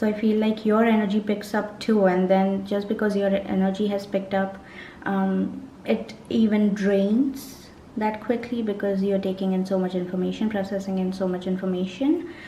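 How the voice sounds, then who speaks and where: A woman at medium pitch with fairly even intonation and a moderate pace, amid noticeable background noise and audible room echo. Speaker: tarot reader. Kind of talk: tarot reading monologue.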